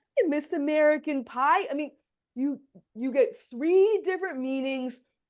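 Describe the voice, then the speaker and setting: A loud, animated woman with a high pitch and lively intonation. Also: fairly slow pace. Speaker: communication coach, co-host. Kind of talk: casual podcast chat. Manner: animated, high energy.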